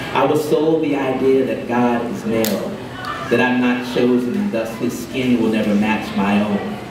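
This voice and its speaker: A man speaks at a fairly slow pace. Audible room echo and noticeable background noise surround his voice. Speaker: poet. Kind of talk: poetry reading. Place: cafe.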